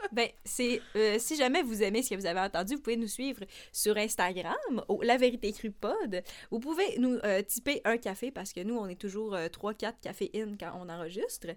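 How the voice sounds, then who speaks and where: In a Quebec accent, a woman speaks at a fairly high pitch with ordinary pitch variation. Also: moderate pace. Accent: Québécois French. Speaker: podcast co-host. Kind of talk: casual chat. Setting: studio.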